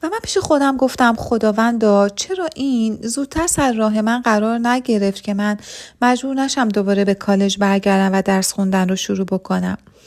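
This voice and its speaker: At a moderate pace, a woman uses an ordinary speaking voice, fairly high in pitch, with ordinary pitch variation. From Iran. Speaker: pharmacy technician promoting an online business. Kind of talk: sales pitch.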